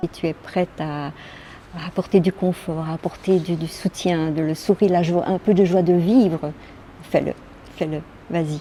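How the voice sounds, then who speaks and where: Against noticeable background noise, a woman with a fairly low pitch talks at a moderate pace with fairly even intonation and long, frequent pauses. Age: 60s. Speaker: social home help worker. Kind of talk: interview testimony. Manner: halting.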